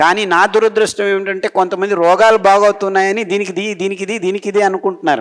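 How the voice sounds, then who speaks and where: His voice is a man's with a high pitch and monotone, flat intonation. The loudness swings a lot. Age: 60s. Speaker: doctor and diet advocate. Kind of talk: health talk / lecture.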